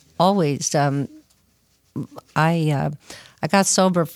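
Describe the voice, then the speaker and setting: A woman with a very deep, low pitch at a very slow pace, in a dry, close sound with no echo and a very clean recording with a silent background. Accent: Californian. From Southern California (Arcadia). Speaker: person in addiction recovery. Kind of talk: testimony.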